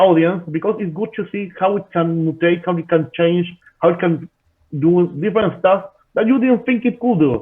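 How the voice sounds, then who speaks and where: A man at a high pitch and a moderate pace. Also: ordinary pitch variation. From Argentina, Buenos Aires. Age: 30s. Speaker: wrestler and writer. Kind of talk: casual interview chat. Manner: halting, repeats words.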